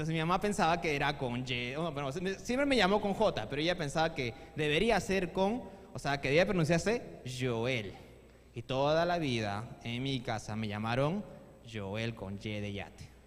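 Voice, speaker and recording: A man's fairly high voice with very wide pitch swings and audible room echo. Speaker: youth service preacher. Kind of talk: sermon. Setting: church. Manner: fast.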